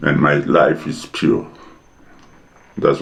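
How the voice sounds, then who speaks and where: The man's delivery is very slow. Behind him, background noise is noticeable. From South Africa, Pretoria. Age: 80s+. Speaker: playwright and actor. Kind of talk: interview. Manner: halting.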